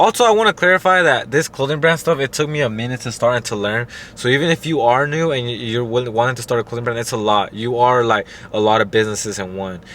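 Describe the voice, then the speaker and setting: A man talks at a very fast pace with ordinary pitch variation. Noticeable background noise runs behind him. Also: medium pitch for a man. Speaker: clothing brand owner, YouTuber. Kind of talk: tutorial. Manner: casual, hesitant with fillers.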